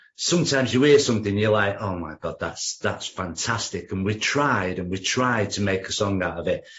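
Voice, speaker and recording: In an English accent, a man with a fairly low pitch speaks at a moderate pace with lively intonation and hardly any pauses. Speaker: rock musician. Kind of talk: interview.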